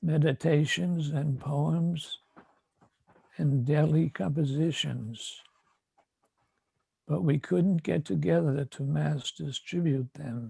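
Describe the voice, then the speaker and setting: A man's somewhat breathy, dark, mellow voice at a fairly high pitch, lively in intonation, very slow with long, frequent pauses, dry and close with no echo. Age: 80s+. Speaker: spiritual teacher. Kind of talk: prepared address to disciples. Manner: formal.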